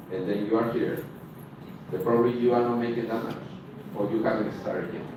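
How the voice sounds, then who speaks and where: At a very fast pace, a man speaks at medium pitch with fairly even intonation. Audible room echo and noticeable background noise are both present. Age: 30s. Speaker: dance instructor. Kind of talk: workshop presentation.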